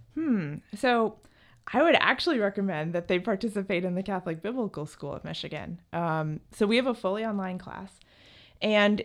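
An American accent comes through as a woman with an ordinary speaking voice talks at a medium pitch. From New Jersey. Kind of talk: interview.

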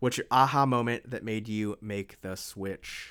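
With an American accent and an ordinary speaking voice, this man talks at a medium pitch with ordinary pitch variation, captured in a very clean recording against a silent background. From US East Coast. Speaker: podcast host. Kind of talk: solo monologue, self-interview. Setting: home office. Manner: casual, conversational.

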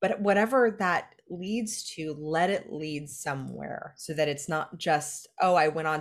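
Here a woman speaks with a Californian accent. Her pitch is fairly low. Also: quiet background. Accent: Californian American English. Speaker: life coach and entrepreneur. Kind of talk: podcast interview.

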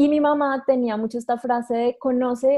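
A woman's high pitch with a dark, mellow tone and fairly even intonation. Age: 20s. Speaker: astrologer. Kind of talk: casual interview.

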